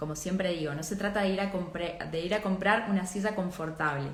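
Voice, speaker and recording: Noticeable background noise runs through this clip of a woman. Her voice carries an audible room echo. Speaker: architecture and design teacher. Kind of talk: live online class. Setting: livestream. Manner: many filler hesitations.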